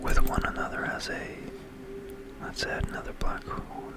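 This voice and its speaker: Someone is whispering amid noticeable background noise. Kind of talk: ASMR science explainer with software demo narration. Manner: whispered.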